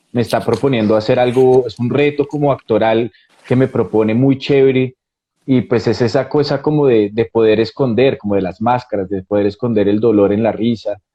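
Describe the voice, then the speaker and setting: With a Bogotá accent, a man speaks in fairly even intonation. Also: medium pitch for a man, moderate pace. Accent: Bogotá Colombian Spanish. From Colombia, Bogotá. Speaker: actor. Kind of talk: interview.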